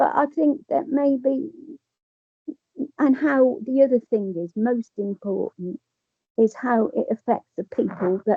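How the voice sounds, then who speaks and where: A woman with an English accent talks at a very slow pace. Her pitch swings very widely. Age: 70s. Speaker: person with lived experience. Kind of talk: testimony. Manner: halting.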